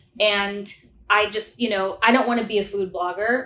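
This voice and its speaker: The intonation is monotone and flat, in an American accent. Noticeable background noise sits behind the voice. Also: woman. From US Midwest, St. Louis, Missouri. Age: 40s. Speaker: nurse practitioner. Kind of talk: casual interview chat.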